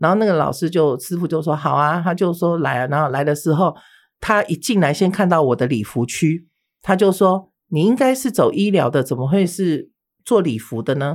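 On a very clean recording with a silent background, a woman with a plain, everyday voice speaks at a moderate pace, her fairly low pitch carrying lively intonation. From Taiwan, mainlander family. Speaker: beauty instructor and spirit medium. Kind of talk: interview storytelling.

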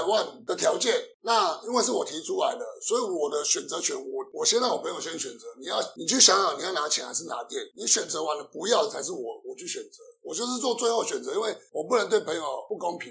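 A man races through his words very fast while noticeable noise fills the background. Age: 40s. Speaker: Italian restaurant owner and chef. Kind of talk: casual interview. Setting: in his restaurant.

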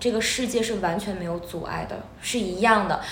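Amid audible room echo and noticeable background noise, a woman speaks at a moderate pace in a fairly high pitch with ordinary pitch variation. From Northeast China. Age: 30s. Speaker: music teacher. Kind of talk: interview.

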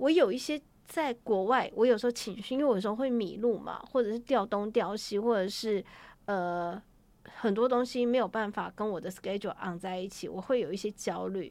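A woman in a plain, everyday voice, lively in intonation, at a moderate pace. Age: 40s. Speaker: travel writer. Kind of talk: interview.

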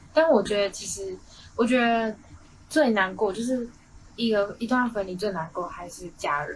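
Somewhat breathy, a woman speaks at a moderate pace with long, frequent pauses and big swings in loudness. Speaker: college radio host. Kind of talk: casual chat. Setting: studio.

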